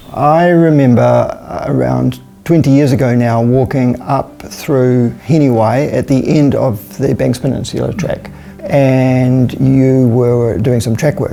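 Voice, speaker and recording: Music plays in the background as a man with a New Zealand accent talks at a fairly slow pace. His pitch is medium, with ordinary variation. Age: 60s. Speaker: environmental activist. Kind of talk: documentary interview.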